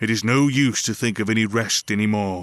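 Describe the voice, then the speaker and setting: A man puts on a character voice of medium pitch, keeping his intonation fairly even. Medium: read story. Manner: blunt, plain-spoken.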